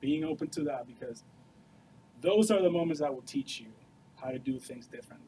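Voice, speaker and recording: A man speaks with a fairly high pitch and lively intonation. His loudness swings widely, and he leaves long, frequent pauses. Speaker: software developer and studio co-founder. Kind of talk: Q&A talk to students. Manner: casual, filler-heavy.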